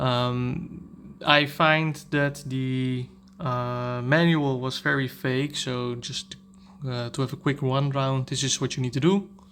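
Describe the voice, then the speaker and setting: With a Dutch accent, a man talks at a fairly slow pace and medium pitch, his intonation fairly even. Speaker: tech reviewer / YouTuber. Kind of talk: product review tutorial. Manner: halting, many fillers.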